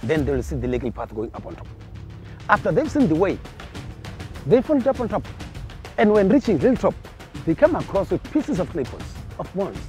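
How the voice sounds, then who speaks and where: With music in the background, a man talks at a fairly quick pace in a high pitch, his voice making very wide pitch swings and big swings in loudness, broken by long, frequent pauses. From Limpopo, northern South Africa. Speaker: field ranger and cultural tour guide. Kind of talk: guided tour storytelling. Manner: passionate.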